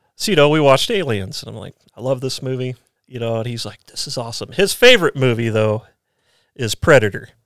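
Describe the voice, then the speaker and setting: A man with an American accent and a plain, everyday voice, medium pitch, ordinary pitch variation, big swings in loudness and a fairly quick pace, in a very clean recording with a silent background. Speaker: Special Forces soldier, former police officer. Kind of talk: casual chat.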